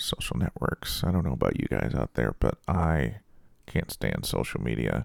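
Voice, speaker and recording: Vocal fry runs through this man's speech at a moderate pace. The sound is dry and close, with no echo. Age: 40s. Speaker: podcast host. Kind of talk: casual solo monologue. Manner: hesitant, many fillers.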